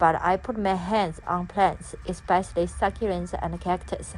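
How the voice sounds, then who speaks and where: A woman with a non-native accent and a medium pitch speaks at a fairly slow pace. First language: not English. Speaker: gardening vlogger. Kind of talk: casual vlog narration. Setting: voice-over for a garden tour video. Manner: halting, many fillers.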